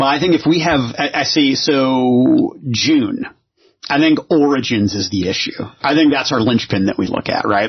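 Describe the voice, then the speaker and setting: With a plain, everyday voice, a man speaks at a fairly high pitch and with lively intonation. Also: moderate pace. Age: 40s. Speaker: podcast host. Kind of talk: casual chat.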